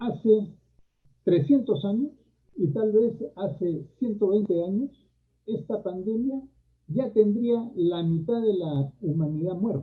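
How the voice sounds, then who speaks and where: A high-pitched man with lively intonation speaks at a very slow pace, with long, frequent pauses. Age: 70s. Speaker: university leader and former education minister. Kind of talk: panel talk.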